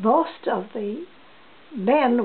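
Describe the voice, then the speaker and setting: With a New Brunswick accent, a woman speaks with lively intonation amid noticeable background noise. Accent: Atlantic Canadian (New Brunswick). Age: 80s+. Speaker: elderly interviewee sharing family history. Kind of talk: oral history interview. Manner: halting, with frequent restarts.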